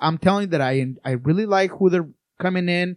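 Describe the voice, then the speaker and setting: At a very fast pace, a man with a Spanish accent speaks at a high pitch with ordinary pitch variation, in a dry, close sound with no echo. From Colombia, Bogota. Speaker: soccer writer and scout analyst. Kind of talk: casual podcast chat. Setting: studio.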